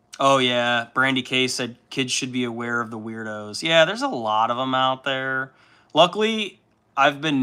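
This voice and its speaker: Loud and bright with a sharp tone, a man's voice at a medium pitch comes through in a very clean recording with a silent background. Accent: American. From Chicago suburbs, US Midwest. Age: 30s. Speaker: livestreamer, miniature painter. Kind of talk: casual livestream chat.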